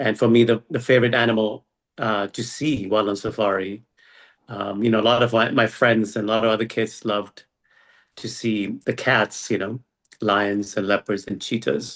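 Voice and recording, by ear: A man speaks in a fairly bright tone with fairly even intonation. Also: fairly low pitch for a man, moderate pace.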